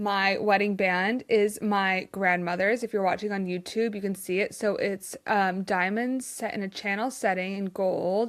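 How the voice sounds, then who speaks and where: A woman at medium pitch and moderate pace, with hardly any pauses. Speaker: podcast host. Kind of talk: casual chat. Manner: animated.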